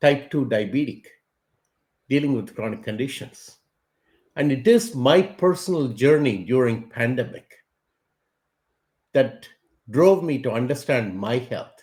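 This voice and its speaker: A man speaks at a fairly slow pace with lively intonation. His speech is broken by long, frequent pauses. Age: 60s. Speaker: tech company CEO. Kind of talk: interview.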